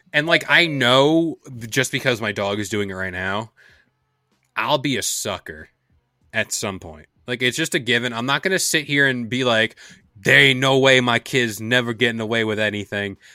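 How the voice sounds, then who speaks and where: A man's medium-pitched voice over music in the background. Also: ordinary pitch variation, moderate pace. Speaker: podcast host. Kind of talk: casual podcast chat. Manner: joking, banter.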